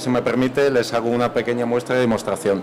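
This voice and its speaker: A man with a medium pitch is heard through noticeable background noise. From Spain, Málaga area. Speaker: university representative. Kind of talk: panel presentation. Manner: halting.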